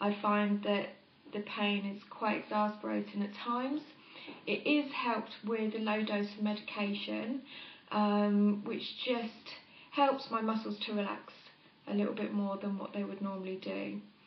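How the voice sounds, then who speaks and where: Noticeable background noise behind a woman at a medium pitch, moderate in pace, with fairly even intonation. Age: 30s. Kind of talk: interview.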